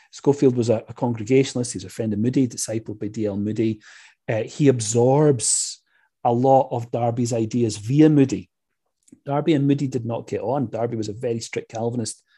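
A man with a Scottish accent speaks in a medium pitch with a dark, mellow tone, somewhat breathy. His pace is fairly quick, his intonation fairly even, and the background is quiet. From Scotland. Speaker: history professor. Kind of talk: interview on church history.

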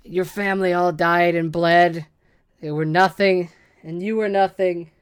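In a put-on character voice, a female-sounding voice speaks at a moderate pace with a fairly low pitch and monotone, flat intonation. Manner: hissing, menacing.

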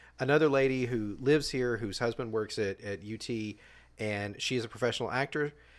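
In a very clean recording with a silent background, a man uses a normal speaking voice at a fairly quick pace with ordinary pitch variation. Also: medium pitch for a man. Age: 40s. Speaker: comedian and musician. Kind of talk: casual chat.

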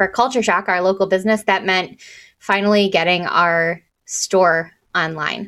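A woman with an ordinary speaking voice, medium pitch and fairly even intonation, on a very clean recording with a silent background. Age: 30s. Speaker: marketing consultant and record store owner. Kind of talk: podcast interview.

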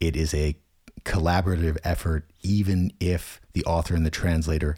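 A man's very deep, low, somewhat breathy voice with a dark, mellow tone and an American accent, in a very clean recording with a silent background. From United States. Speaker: translator and language consultant. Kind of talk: interview conversation.

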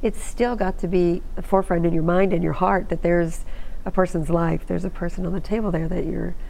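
An unremarkable speaking voice at a fairly quick pace with fairly even intonation. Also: woman. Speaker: TV show host. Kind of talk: interview with caller questions. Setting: TV studio with phone-in calls.

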